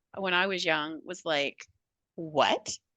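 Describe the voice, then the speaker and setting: A woman's bright, sharp voice with vocal fry, in a dry, close sound with no echo. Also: quiet background. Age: 60s. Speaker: psychotherapist. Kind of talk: casual chat.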